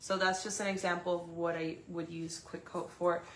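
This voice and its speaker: Fairly low-pitched woman's voice, monotone and flat, with audible room echo. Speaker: resin artist and gallery owner. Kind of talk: unboxing livestream. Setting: live video stream. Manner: casual with many fillers and self-corrections.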